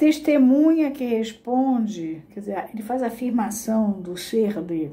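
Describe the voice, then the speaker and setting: A woman at a fairly high pitch with lively intonation, amid audible room echo. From Brazil, Rio de Janeiro. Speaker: psychoanalysis teacher. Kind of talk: lecture. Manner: slow.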